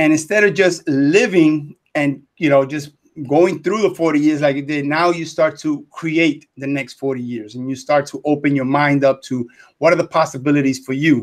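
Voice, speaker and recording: A man speaks with a New York accent in a fairly high voice. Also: ordinary pitch variation, moderate pace. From New York City. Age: 60s. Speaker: retired teacher and business mentor. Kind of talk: live interview.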